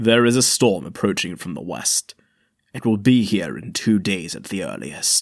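In a dry, close sound with no echo, a man uses a put-on character voice at a fairly low pitch, with big swings in loudness. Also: moderate pace. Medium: audio drama. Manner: formal, clipped.

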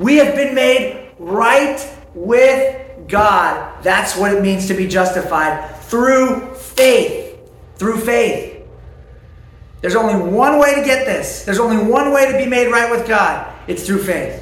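There is noticeable background noise and audible room echo. A man with a high pitch speaks at a fairly slow pace with lively intonation. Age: 30s. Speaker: pastor. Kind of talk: sermon.

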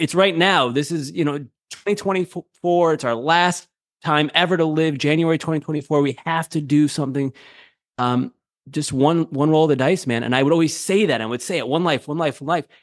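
A man with a normal speaking voice talks fairly quickly in a fairly high pitch with ordinary pitch variation, the sound dry and close with no echo over a quiet background. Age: 30s. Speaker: radio producer and show host. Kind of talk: casual chat.

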